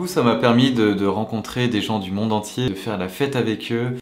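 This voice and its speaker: Medium pitch from a man, ordinary pitch variation, moderate pace. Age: 30s. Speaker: travel vlogger. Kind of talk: vlog. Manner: casual, animated.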